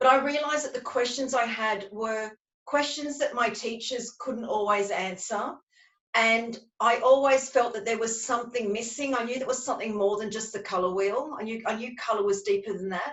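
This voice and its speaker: In an Australian accent, a woman speaks at a fairly high pitch with fairly even intonation. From Australia, Sydney. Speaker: colour psychology practitioner. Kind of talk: webinar interview.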